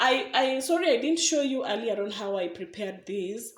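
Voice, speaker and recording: Over noticeable background noise, a fairly high-pitched woman speaks at a moderate pace with very wide pitch swings. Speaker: cooking vlogger. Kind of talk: cooking tutorial.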